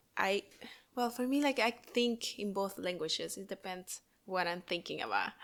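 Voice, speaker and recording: A woman speaks with a Spanish accent at medium pitch and ordinary pitch variation. Her pace is fairly slow, on a very clean recording with a silent background. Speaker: podcast co-host, mother. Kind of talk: casual chat. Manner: halting.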